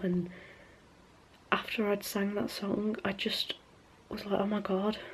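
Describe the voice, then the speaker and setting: Over noticeable background noise, a woman speaks at a moderate pace in a monotone, flat delivery. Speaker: vlogger. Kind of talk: vlog. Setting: at home, family sleeping. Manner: loud.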